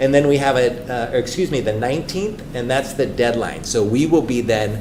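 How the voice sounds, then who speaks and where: A man at a moderate pace with ordinary pitch variation, in audible room echo and noticeable background noise. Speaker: superintendent search consultant. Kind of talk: presentation to school board. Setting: school board meeting.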